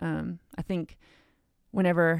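A woman with an American accent and fairly low pitch, on a very clean recording with a silent background. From Cleveland, Ohio, US. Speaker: children's ministry director. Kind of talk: casual interview.

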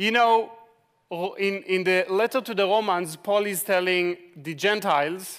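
A man with an Israeli accent talks at a very slow pace in a high pitch. His intonation is fairly even. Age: 40s. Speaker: ministry leader. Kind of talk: sermon. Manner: halting.

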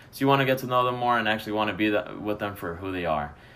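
Speaking at a very fast pace with an American accent, a man uses a fairly low pitch and ordinary pitch variation, with audible room echo around him. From Chicago. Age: 20s. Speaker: college student. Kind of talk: casual chat.

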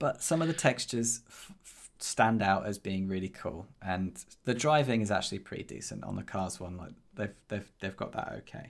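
A man with an unremarkable speaking voice talks at a moderate pace in a fairly low pitch, with lively intonation and big swings in loudness. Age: 30s. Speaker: podcast co-host and indie developer. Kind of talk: casual chat.

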